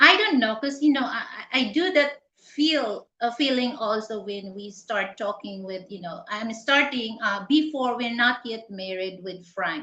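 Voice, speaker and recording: Speaking with a Filipino accent at a fairly slow pace, a woman uses a fairly high pitch, lively intonation and big swings in loudness. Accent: Tagalog-accented English. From Philippines. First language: Tagalog. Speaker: channel host. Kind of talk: casual live interview chat. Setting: live stream. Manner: halting, many fillers.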